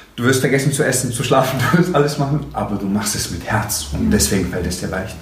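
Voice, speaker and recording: A man speaks at a fairly quick pace with a medium pitch. The recording has audible room echo and noticeable background noise. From Stuttgart, southwestern Germany. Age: 20s. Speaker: motivational coach. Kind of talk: casual interview. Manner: animated.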